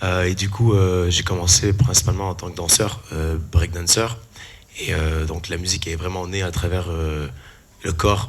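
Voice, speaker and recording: A man talks with a very deep, low pitch and ordinary pitch variation. Noticeable background noise and audible room echo fill the recording. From Canada. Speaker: musician and performer. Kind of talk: panel talk, self-introduction. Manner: hesitant, many fillers.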